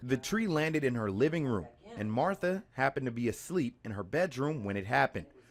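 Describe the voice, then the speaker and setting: Over noticeable background noise, a man with a medium pitch talks at a fairly quick pace with very wide pitch swings and hardly any pauses. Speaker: television news reporter and anchor. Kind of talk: field reporter or anchor news delivery. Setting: broadcast studio and on-location field reporting.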